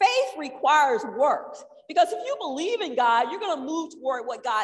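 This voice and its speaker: Very wide pitch swings at a moderate pace, over noticeable background noise. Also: woman. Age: 60s. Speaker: church member teaching on budgeting. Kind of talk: church talk.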